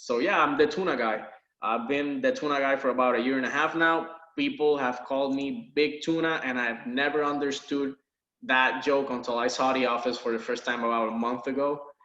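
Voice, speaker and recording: In a slight Puerto Rican accent, a man with a fairly high pitch talks at a fairly quick pace, his pitch varying in an ordinary way amid audible room echo. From Puerto Rico. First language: Spanish. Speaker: university biology lab instructor. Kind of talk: course introduction video lecture. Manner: casual, laid-back.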